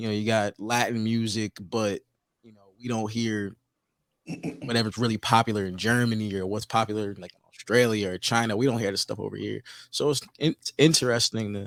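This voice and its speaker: A normal speaking voice with an American accent moves at a fairly quick pace with big swings in loudness. The recording is very clean with a silent background, dry and close with no echo. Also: man. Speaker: podcast host. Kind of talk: casual chat.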